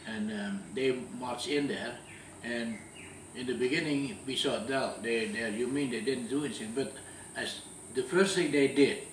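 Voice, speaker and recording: Medium-pitched male speech at a moderate pace with long, frequent pauses, ordinary pitch variation, audible room echo and noticeable background noise. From Dutch East Indies (Java, Indonesia). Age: 80s+. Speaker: war witness. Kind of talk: interview testimony. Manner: halting, many repetitions.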